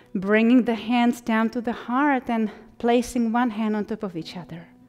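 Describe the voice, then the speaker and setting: A woman speaks in a calm, gentle tone at a fairly high pitch. Her intonation is fairly even, with music in the background. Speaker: yoga instructor. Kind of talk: guided yoga class instruction.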